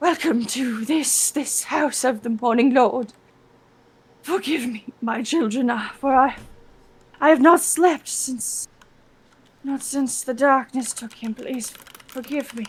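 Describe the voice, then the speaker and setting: A woman speaks in a put-on character voice, high and shaky. Her pace is very slow. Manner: trembling, broken, pleading.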